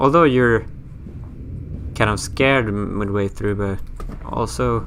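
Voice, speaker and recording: A man with a Swedish accent speaks at a fairly slow pace in a fairly low pitch with very wide pitch swings, amid noticeable background noise and audible room echo. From Sweden. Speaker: gaming youtuber. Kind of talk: let's play commentary. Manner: casual, chatty.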